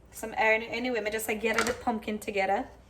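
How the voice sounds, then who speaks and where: A woman with a Jamaican accent at a very fast pace, fairly high in pitch, with fairly even intonation. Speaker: cooking vlogger. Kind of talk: casual cooking tutorial in patois. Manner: casual, chatty.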